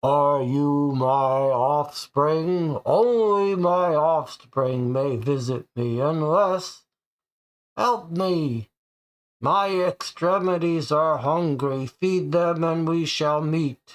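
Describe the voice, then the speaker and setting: A man's put-on character voice, fairly high, raised and projected, at a very slow pace. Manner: commanding, demanding.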